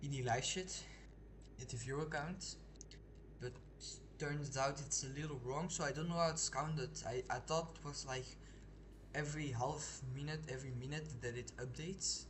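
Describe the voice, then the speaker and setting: Long, frequent pauses mark a man's speech, heard with audible room echo. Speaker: video game streamer. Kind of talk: casual live gameplay commentary. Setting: live stream. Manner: halting, with pauses and restarts; slows down when not focusing.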